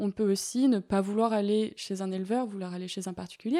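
On a very clean recording with a silent background, a woman speaks at a medium pitch in a dark, mellow tone with fairly even intonation. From Paris, France. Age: 20s. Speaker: ecology student and dog owner. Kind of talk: interview. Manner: hesitant, with many fillers.

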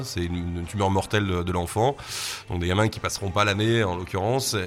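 Over music in the background, a man with a fairly low voice speaks at a fairly quick pace with ordinary pitch variation. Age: 40s. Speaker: bar owner. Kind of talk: interview. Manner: halting, many repetitions.

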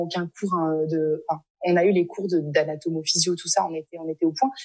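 Normal speaking voice of a woman, fairly low-pitched, fairly even intonation, moderate pace. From France. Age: 20s. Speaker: speech therapist. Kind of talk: interview.

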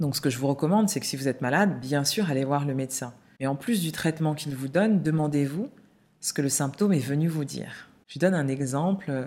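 A woman talks at a fairly quick pace. Her pitch is very deep and low, with a dark, mellow tone. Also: ordinary pitch variation. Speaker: podcast host and holistic coach. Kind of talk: solo podcast monologue. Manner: voice trembling while sharing personal story.

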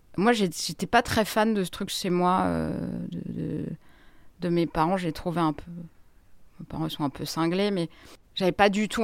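Over a silent background in a very clean recording, a woman speaks fairly slowly at a medium pitch with ordinary pitch variation. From Grenoble, France. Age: 40s. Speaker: journalist. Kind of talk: interview. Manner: halting.

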